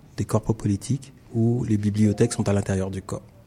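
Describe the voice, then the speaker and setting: A fairly low-pitched man speaks at a fairly quick pace, somewhat breathy and dark, mellow in tone. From Caribbean (French Antilles). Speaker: visual artist. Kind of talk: interview. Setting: studio.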